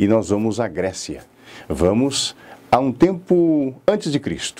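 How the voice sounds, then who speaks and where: Dark and mellow in tone, a man speaks at medium pitch with very wide pitch swings. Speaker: public speaking teacher and radio announcer. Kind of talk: lecture. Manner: didactic.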